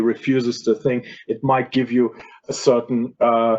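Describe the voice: A man speaks with a slightly mellow tone. His voice has little pitch movement.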